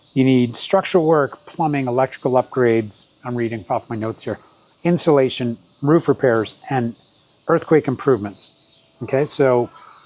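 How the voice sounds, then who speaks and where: With noticeable background noise behind him, a man speaks at a moderate pace in a medium pitch with ordinary pitch variation. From Canada, Vancouver Island. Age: 60s. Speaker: travel vlogger. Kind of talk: casual vlog talk. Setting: in Japan, summer. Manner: informal, with fillers.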